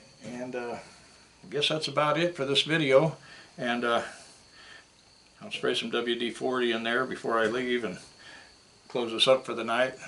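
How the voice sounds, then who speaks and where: With an American accent and a medium pitch, the man keeps a moderate pace and fairly even intonation, pausing long and often amid noticeable background noise. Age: 60s. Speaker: scrap metal YouTuber. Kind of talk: casual vlog talk to camera. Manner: casual, hesitant with fillers.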